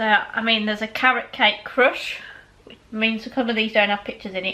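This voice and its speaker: Against noticeable background noise, a woman with a West Midlands accent talks at a fairly quick pace in a fairly high pitch, her intonation monotone and flat while her loudness swings widely. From West Midlands, England. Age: 30s. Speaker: food vlogger. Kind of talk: casual product review. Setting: indoors with patio doors open. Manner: fast.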